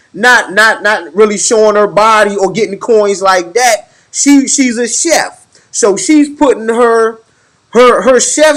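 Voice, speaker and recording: A man speaks loudly. His pace is fairly slow. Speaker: podcast host. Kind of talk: casual chat. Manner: halting.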